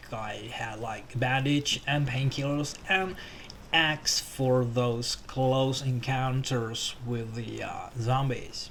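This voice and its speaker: A man with a Finnish accent, medium-pitched, at a very slow pace with fairly even intonation, against noticeable background noise. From Finland. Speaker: gaming YouTuber. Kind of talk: game tutorial commentary. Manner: hesitant, many fillers.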